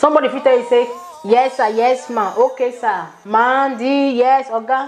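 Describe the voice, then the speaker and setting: Noticeable background noise is present. The talking proceeds at a moderate pace. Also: woman. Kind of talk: casual talk to camera while eating.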